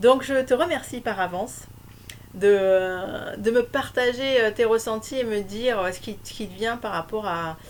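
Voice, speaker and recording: Her fairly high voice carries ordinary pitch variation and big swings in loudness as the woman speaks at a fairly slow pace. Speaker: spiritual coach sharing on couples. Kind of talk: solo video talk. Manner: hesitant, many fillers.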